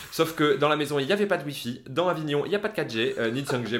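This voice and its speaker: Through noticeable background noise, a man speaks at a fairly quick pace in an animated tone with lively intonation. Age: 30s. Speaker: podcast co-host. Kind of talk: casual chat.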